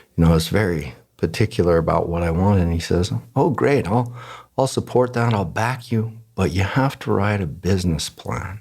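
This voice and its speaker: A very clean recording with a silent background carries a voice with lively intonation. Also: man, very deep, low pitch for a man, fairly quick pace. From Germany and the US. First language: German. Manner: halting.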